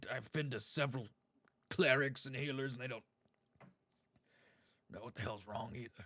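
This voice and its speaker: A man speaks in a put-on character voice at a medium pitch, raspy and broken by long, frequent pauses. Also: moderate pace. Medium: actual play. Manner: hesitant, stammering, businesslike.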